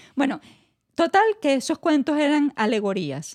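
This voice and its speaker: Lively intonation marks this woman's moderate-paced speech. The background stays quiet. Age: 30s. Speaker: podcast co-host. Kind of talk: casual chat.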